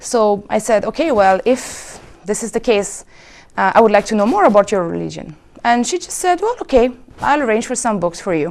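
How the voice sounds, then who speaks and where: Speaking with a French accent, a woman has a fairly high pitch. She keeps a moderate pace and lively intonation. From France (Paris). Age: 30s. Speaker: convert to Islam. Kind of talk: testimony.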